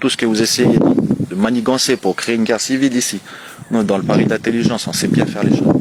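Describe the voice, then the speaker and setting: A man speaks at a very fast pace in a medium pitch, with noticeable background noise. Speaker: community activist livestreamer. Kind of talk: livestream address.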